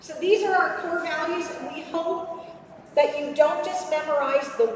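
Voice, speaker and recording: Noticeable background noise accompanies this recording. The woman's voice carries audible room echo. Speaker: robotics program presenter. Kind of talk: presentation to kids and parents. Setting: room with live audience, no microphone. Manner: loud; animated. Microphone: speaking without microphone.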